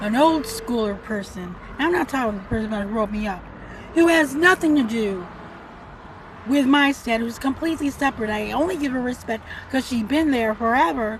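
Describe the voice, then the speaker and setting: Through noticeable background noise, a woman with a high pitch speaks at a moderate pace with lively intonation and long, frequent pauses. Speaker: vlogger living in a car. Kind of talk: casual rant vlog. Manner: soft-spoken, not loud; rambling with filler words.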